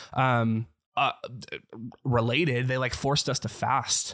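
At a very slow pace, a man of medium pitch speaks with vocal fry in a very clean recording with a silent background. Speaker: former worship leader. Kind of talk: casual chat.

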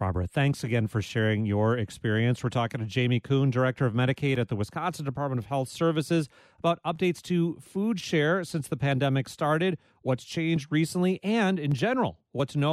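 In an American accent, a man with a fairly high pitch talks at a fairly quick pace with hardly any pauses, lively intonation and very even loudness, in an unremarkable speaking voice. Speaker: radio host. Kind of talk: radio call-in interview. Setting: studio.

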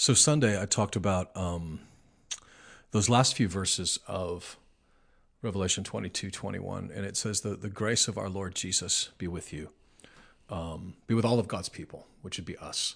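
A man with an American accent in a normal speaking voice, fairly low-pitched with ordinary pitch variation, at a moderate pace over a quiet background. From Nebraska, US Midwest. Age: 40s. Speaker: lead pastor. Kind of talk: casual chat.

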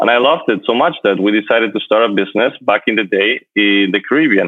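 The voice has a Spanish accent and ordinary pitch variation. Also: man. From Spain, Madrid. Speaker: luxury travel entrepreneur. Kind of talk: interview.

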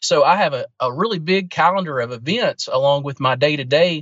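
At a fairly quick pace, a man speaks in a normal speaking voice pitched fairly high. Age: 20s. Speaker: pastor. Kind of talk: casual interview.

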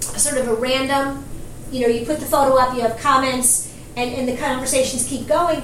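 A woman with a New York accent speaks at a high pitch over noticeable background noise. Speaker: marketing podcast co-host. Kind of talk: casual discussion.

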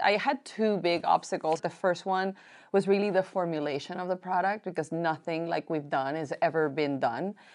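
A woman with a Spanish accent and medium pitch speaks at a moderate pace with hardly any pauses against a quiet background. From Colombia. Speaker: beauty entrepreneur. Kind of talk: panel interview.

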